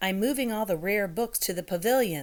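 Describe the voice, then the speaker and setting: A woman's put-on character voice, medium in pitch, with lively intonation at a fairly quick pace. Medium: read story. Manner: brisk, hurried.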